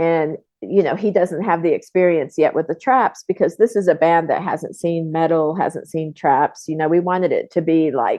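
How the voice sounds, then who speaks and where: With a normal speaking voice, a woman talks at a fairly low pitch and moderate pace, with ordinary pitch variation and hardly any pauses. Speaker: film co-producer. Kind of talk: interview answer.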